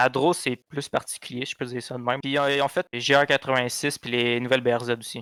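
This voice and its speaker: Speaking very fast with hardly any pauses, a man at medium pitch delivers a monotone, flat line in a bright, sharp tone, the sound dry and close with no echo. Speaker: car podcast co-host. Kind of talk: casual chat.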